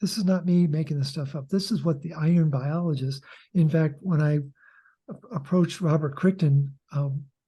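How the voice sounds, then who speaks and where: With a quiet background, a man speaks in a fairly high pitch with a dark, mellow tone. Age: 70s. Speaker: author and health educator. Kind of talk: interview.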